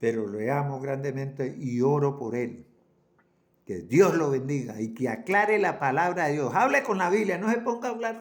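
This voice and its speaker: Very wide swings mark this man's pitch. He keeps to a moderate pace. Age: 80s+. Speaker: preacher. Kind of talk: sermon. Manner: halting, repeats words.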